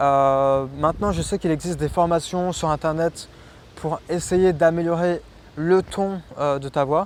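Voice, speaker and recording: High in pitch, a man speaks with fairly even intonation. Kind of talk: conversational, explanatory.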